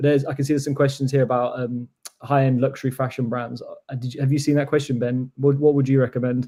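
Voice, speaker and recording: Speaking very fast, a man uses a somewhat breathy voice at medium pitch with a dark, mellow tone and monotone, flat intonation. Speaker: webinar host. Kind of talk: webinar discussion.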